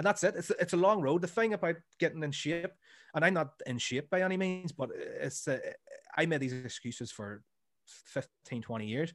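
With a Northern Irish accent, a man speaks at a high pitch with lively intonation. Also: moderate pace. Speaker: comedy podcaster and school teacher. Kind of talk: casual chat. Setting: remote call.

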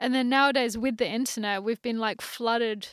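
A woman with an Australian accent, on a very clean recording with a silent background. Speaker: photographer and chief creative officer. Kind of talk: casual chat.

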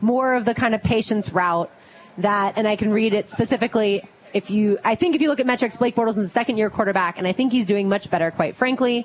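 A woman speaks very fast at a fairly high pitch, with ordinary pitch variation. Her loudness stays very even throughout. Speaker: radio host. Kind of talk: casual radio chat. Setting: live remote event with audience.

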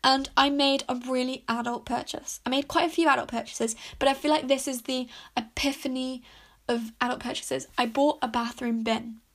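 A woman with a British accent, high-pitched and monotone with flat intonation, in a very clean recording with a silent background. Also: fairly quick pace. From UK. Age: 20s. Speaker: podcast host. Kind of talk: casual monologue. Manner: chatty, rambling with fillers.

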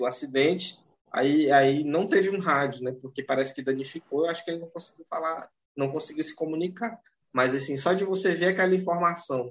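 Talking at a fairly quick pace, a man has an ordinary speaking voice, with ordinary pitch variation. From northern Brazil. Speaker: podcast host. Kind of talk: casual podcast chat.

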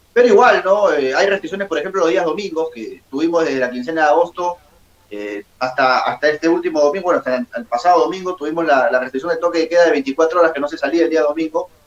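Amid noticeable background noise, a man with a fairly high pitch and lively intonation talks at a very fast pace. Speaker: sports journalist. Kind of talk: interview.

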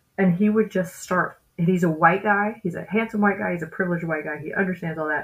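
With a Southern US accent, a woman at a medium pitch talks in an animated tone at a very fast pace, somewhat breathy and with hardly any pauses. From US South, West Memphis, Arkansas. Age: 30s. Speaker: comedian. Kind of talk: casual interview.

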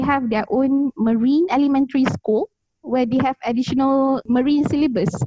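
A woman speaks in a Malaysian accent at a moderate pace. Her pitch is high, with ordinary variation. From Malaysia, Kuala Lumpur. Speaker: climate researcher and advocate. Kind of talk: relaxed interview. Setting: remote call from Taiwan. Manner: laughs often.

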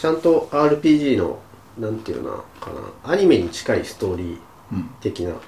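A man's loudness rises and falls sharply as he talks at a moderate pace. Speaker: podcast co-host, office worker. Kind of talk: casual chat.

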